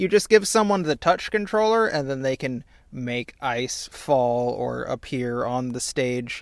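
A man with a medium-pitched voice talks at a fairly slow pace, his pitch swinging very widely. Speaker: podcast co-host. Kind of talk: casual chat.

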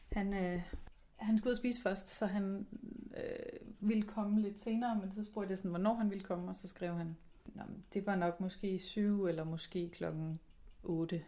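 A woman's medium-pitched, somewhat breathy voice with a dark, mellow tone, a fairly slow pace and fairly even intonation. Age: 30s. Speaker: podcast host. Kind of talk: personal diary podcast. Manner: hesitant, many fillers.

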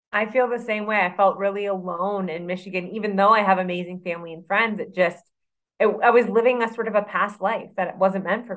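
A woman with an unremarkable speaking voice talks fairly quickly at a medium pitch, her intonation fairly even but her loudness swinging widely. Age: 30s. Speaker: personal trainer and nutrition coach. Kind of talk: casual interview chat.

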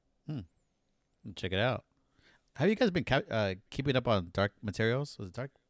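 In a very clean recording with a silent background and a dry, close sound with no echo, a man speaks at a moderate pace and medium pitch with lively intonation and long, frequent pauses. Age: 30s. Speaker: podcast co-host. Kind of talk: casual chat.

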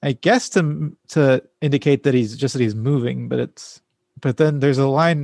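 The speaker uses an unforced reading voice with ordinary pitch variation over a quiet background.

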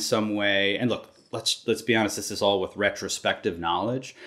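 On a very clean recording with a silent background, a man with an American accent uses a normal speaking voice at medium pitch with ordinary pitch variation. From Massachusetts, near Boston. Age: 50. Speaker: photographer. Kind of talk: interview.

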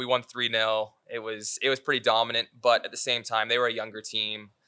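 A man with a Canadian accent speaks at a medium pitch in a bright, sharp tone, recorded very cleanly with a silent background and a dry, close sound with no echo. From Canada, Vancouver. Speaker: professional soccer player. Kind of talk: casual interview.

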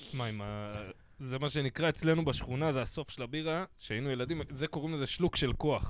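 A man with a fairly high pitch and an ordinary speaking voice talks at a moderate pace with ordinary pitch variation, on a very clean recording with a silent background. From Israel, Bat Yam. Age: 40s. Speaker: podcast host, comedian. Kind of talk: casual chat.

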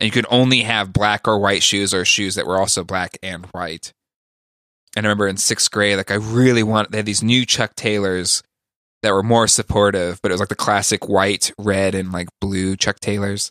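Speaking with an American accent, a man with a fairly low pitch and a bright, sharp tone keeps a monotone, flat intonation in a very clean, dry, close recording with no echo and a silent background. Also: moderate pace. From California. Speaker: podcaster. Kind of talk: casual chat. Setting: studio.

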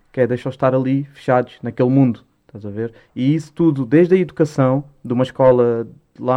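A man rattles along very fast in a medium pitch. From Portugal, Lisbon (Lumiar, Alta de Lisboa). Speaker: rapper. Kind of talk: casual chat.

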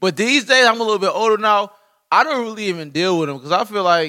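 A man projects a raised voice with a bright, sharp tone, ordinary pitch variation and a fairly quick pace. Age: 20s. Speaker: podcast guest. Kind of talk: casual chat.

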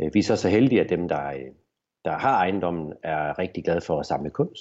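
Speaking with a very deep, low pitch, a man keeps a moderate pace and ordinary pitch variation. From Denmark, Horsens (East Jutland). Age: 40s. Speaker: business owner. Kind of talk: interview. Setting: video call. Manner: halting.

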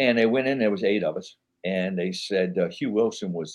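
With a New York accent, a man talks at a moderate pace with medium pitch and lively intonation. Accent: New York-sounding. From New Orleans, Louisiana. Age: old. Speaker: actor. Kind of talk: casual chat.

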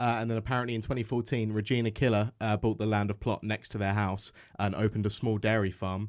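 Recorded very cleanly against a silent background, a man speaks very fast in a fairly low, flat monotone. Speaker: radio show co-host. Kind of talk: casual comedy radio show chat. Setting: studio.

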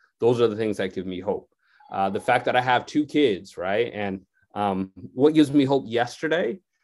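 A man talks in an ordinary speaking voice at medium pitch. His intonation is lively and his pace moderate. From Connecticut. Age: 40s. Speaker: sociology professor. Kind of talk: radio interview.

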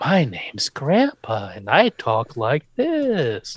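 A put-on character voice at a low-to-middle pitch and a very slow pace

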